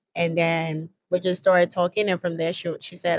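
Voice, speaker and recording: The speaker has a strong Nigerian accent. The sound is dry and close, with no echo. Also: woman. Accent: Nigerian accent, still strong. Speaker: college student. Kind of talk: casual interview chat. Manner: casual, many fillers like 'like'.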